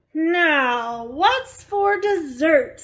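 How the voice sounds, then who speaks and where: A woman bellows in a put-on character voice. Her pitch is extremely high, with very wide swings. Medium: read story. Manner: bellowing, greedy.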